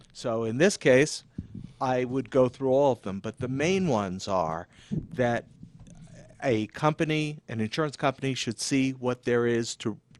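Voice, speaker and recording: An ordinary speaking voice with lively intonation at a fairly slow pace, in a dry, close sound with no echo. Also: man, medium pitch for a man. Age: 60s. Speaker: insurance attorney. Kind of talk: radio interview. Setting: radio studio, live. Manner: measured, formal.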